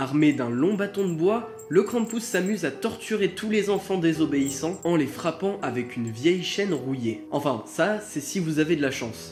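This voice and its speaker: Speech at a moderate pace with music in the background. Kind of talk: folklore and legend narration for video. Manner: casual, joking asides.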